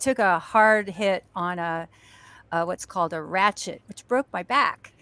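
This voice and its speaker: On a very clean recording with a silent background and a dry, close sound with no echo, a woman speaks at a fairly slow pace with lively intonation. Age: 60s. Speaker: actress and stuntwoman. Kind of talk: casual chat. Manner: halting.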